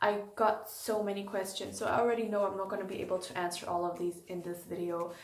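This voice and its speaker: A woman's medium-pitched voice with a German accent, at a fairly quick pace with fairly even intonation, amid audible room echo and noticeable background noise. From Germany, Frankfurt. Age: 20s. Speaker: YouTuber, animal keeper. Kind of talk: casual Q&A vlog. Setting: indoors, animal room, late night.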